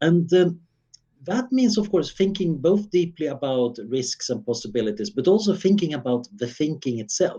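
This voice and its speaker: A man with a Swedish accent speaks at a moderate pace in a dark, mellow tone, his high voice making very wide pitch swings. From Sweden, Stockholm suburb. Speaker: futurist researcher. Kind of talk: interview.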